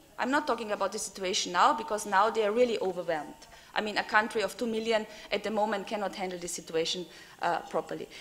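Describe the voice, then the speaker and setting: A woman's fairly high, fairly quick voice with ordinary pitch variation over noticeable background noise. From Austria. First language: German. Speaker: European politician, panelist. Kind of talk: panel discussion. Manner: hesitant, many fillers.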